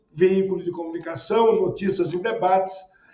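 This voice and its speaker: A man speaks with ordinary variation in his pitch. There's audible echo from the room. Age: 60s. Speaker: city housing secretary, politician. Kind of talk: interview. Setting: remote interview. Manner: formal; hesitant fillers.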